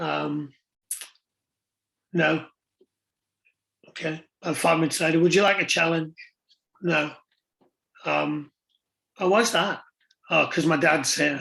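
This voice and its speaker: The speech is fairly slow, with long, frequent pauses and fairly even intonation. The tone is bright and sharp, with vocal fry. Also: man, fairly high pitch for a man. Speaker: youth sports coach. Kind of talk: online conference talk.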